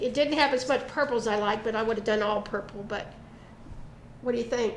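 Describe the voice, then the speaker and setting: Over noticeable background noise and audible room echo, a woman with an American accent speaks at a fairly high pitch with fairly even intonation. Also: fairly quick pace. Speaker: arts and crafts show host. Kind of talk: casual chat.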